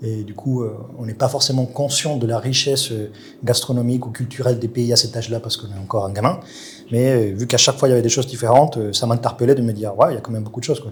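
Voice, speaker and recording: A somewhat breathy man at medium pitch, with fairly even intonation and a very fast pace. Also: big swings in loudness. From Colombia. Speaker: chef. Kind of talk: interview. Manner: hesitant, many fillers.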